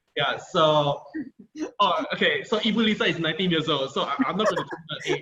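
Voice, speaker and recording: The pitch of this man's voice shifts in an ordinary way. He speaks fairly quickly. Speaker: HR executive and career coach. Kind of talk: webinar talk. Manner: fast.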